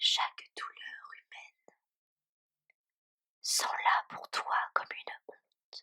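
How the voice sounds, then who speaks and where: Whispering, a woman is captured with a dry, close sound and no echo. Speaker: ASMR content creator. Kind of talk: whispered poetry reading. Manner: whispered, soft, slow.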